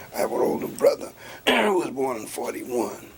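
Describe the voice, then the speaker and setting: With audible room echo and noticeable background noise around him, a man talks at a fairly quick pace. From US South, coastal Georgia (Riceboro near Savannah). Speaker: labor and civil rights activist. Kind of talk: oral history interview.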